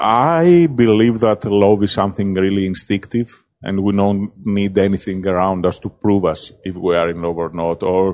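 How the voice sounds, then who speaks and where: Speaking in a Greek accent, a man has a fairly low pitch. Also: ordinary pitch variation, moderate pace, hardly any pauses. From Greece. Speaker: film director. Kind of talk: interview. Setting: film festival.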